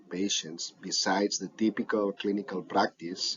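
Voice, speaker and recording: Here a man talks at a moderate pace with a fairly low pitch. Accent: non-native. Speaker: biomedical researcher. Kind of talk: conference talk. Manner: hesitant, with fillers and restarts.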